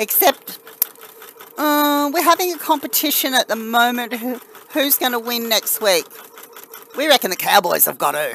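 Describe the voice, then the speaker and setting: A high-pitched woman with an Australian accent, lively intonation, and long, frequent pauses amid noticeable background noise. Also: moderate pace. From Australia, New South Wales. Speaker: crafting live streamer. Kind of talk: casual live stream chat with viewers. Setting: live stream.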